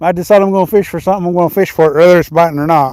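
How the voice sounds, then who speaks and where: The voice has a dark, mellow tone and fairly even intonation, with an American accent. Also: man. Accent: Missouri accent, heard as southern. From Missouri. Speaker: fishing livestreamer. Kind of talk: live fishing stream chat. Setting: outdoors on a lake. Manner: casual, repetitive.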